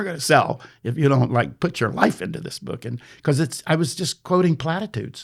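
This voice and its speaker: Speaking at a fairly quick pace with an American accent, the voice has lively intonation and vocal fry on a very clean recording with a silent background. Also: man. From Texas. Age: 70s. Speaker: travel photographer and author. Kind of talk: podcast interview. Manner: halting, many fillers.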